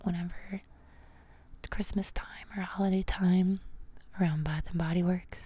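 This voice is soft-spoken and somewhat breathy. Its intonation stays monotone and flat. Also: woman, dry sound with no echo. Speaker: ASMR creator. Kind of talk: soft calming guided talk. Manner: soft-spoken, close-mic ASMR murmur. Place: home room. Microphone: studio mic.

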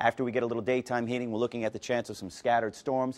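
A man's very fast delivery with fairly even intonation. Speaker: TV presenter. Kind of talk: weather forecast presentation. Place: studio.

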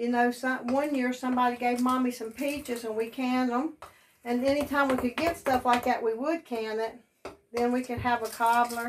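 A woman talks at a moderate pace in a high pitch with monotone, flat intonation. Light background noise is present. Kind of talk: casual cooking tutorial chat. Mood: warm, grateful, nostalgic. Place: kitchen. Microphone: phone near.

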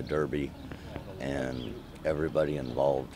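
This man speaks with a very deep, low pitch. The sound is dry with no echo, though background noise is noticeable. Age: 60s. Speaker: jockey. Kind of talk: interview. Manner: halting. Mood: relaxed, modest, pleased. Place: farm machine. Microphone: phone near.

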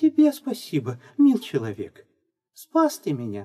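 The speaker uses a put-on character voice with a fairly high pitch. The pace is moderate. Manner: sweet, feigned.

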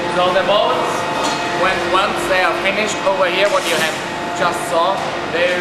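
A man at a moderate pace, with audible room echo and loud background noise. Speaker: factory tour guide. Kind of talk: tour explanation. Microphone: camera far.

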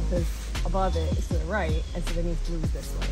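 Loud music plays in the background. A woman speaks at a fairly quick pace. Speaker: hiker vlogger. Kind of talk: casual vlog chat. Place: forest. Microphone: phone near.

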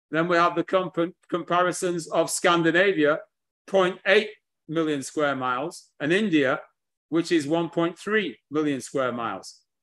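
A man with a British accent speaks at a very slow pace and a high pitch, with ordinary pitch variation. The background is quiet. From England. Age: 60s. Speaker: history lecturer. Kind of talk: lecture. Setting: video call. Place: home room. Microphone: video call.

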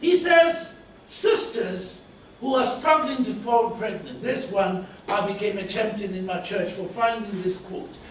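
A man talks at a fairly slow pace with an animated tone, lively intonation and big swings in loudness. The room echo is audible, and there is light background noise. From South Africa. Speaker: preacher. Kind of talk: sermon. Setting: church. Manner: animated, conversational preaching with amens and laughter. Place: church.

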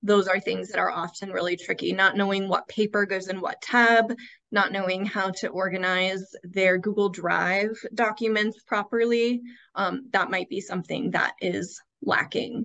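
A woman with an American accent, bright and sharp in tone, fairly even in intonation, over a quiet background. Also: medium pitch for a woman, moderate pace. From Iowa. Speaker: school administrator; presenter. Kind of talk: webinar presentation. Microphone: video call.

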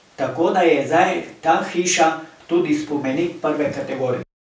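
Amid noticeable background noise and audible room echo, a man talks in a fairly high pitch with ordinary pitch variation. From Slovenia, Pohorje village. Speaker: local community president. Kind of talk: casual chat.

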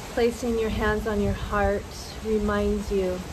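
There is noticeable background noise behind this recording. A woman speaks at a very slow pace. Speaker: meditation guide. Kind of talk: guided meditation. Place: garden.

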